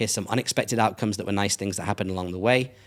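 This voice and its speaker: An animated man with a British accent, a fairly low pitch and a very fast pace, on a very clean recording with a silent background. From England. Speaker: brand strategist. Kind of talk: casual interview chat.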